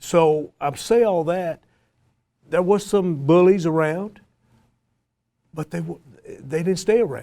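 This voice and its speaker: A man with a Tennessee accent speaks very slowly at high pitch in a dark, mellow tone, with ordinary pitch variation and long, frequent pauses. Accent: Southern US (Tennessee). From US South, East Tennessee. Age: 60s. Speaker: college football coach. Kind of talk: panel discussion.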